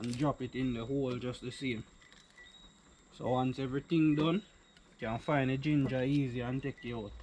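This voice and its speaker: A man with a Jamaican accent speaks at medium pitch and a moderate pace. His intonation is fairly even, and he leaves long, frequent pauses. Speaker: vlogger. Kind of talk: casual cooking vlog.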